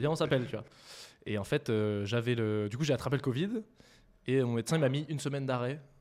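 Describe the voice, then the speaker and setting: Speaking at a very fast pace, a man delivers his words. His pitch variation is ordinary. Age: 20s. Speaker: startup co-founder. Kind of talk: casual interview chat.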